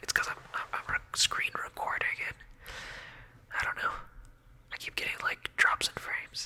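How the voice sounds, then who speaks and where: The speaker is whispering at a moderate pace. There is noticeable background noise. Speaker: ASMR gaming content creator. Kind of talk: casual gameplay commentary narration. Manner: whispered, soft-spoken.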